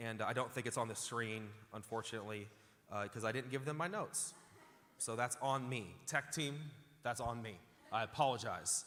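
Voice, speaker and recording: A man's bright, sharp, animated voice at a moderate pace, with ordinary pitch variation and long, frequent pauses. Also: medium pitch for a man. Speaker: pastor. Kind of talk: sermon. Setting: church with live audience. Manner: loud.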